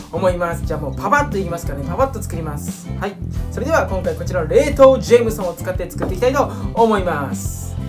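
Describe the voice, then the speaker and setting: With music in the background, a man talks at a very fast pace with hardly any pauses. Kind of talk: casual talk and cocktail tutorial. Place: bar.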